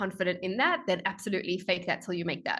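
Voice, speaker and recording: A woman with a strong South African accent over a quiet background. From South Africa, Johannesburg. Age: 20s. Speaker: strategy consultant. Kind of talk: podcast interview.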